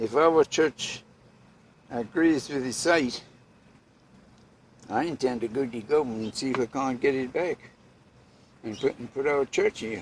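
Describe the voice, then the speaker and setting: A man at medium pitch speaks with a Bermudian accent and ordinary pitch variation. He leaves long, frequent pauses. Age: 80s+. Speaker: boat and house builder. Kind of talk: interview answer. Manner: slow, elderly.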